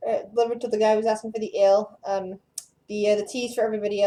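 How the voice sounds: Someone reads aloud in a natural reading voice, and the background is quiet.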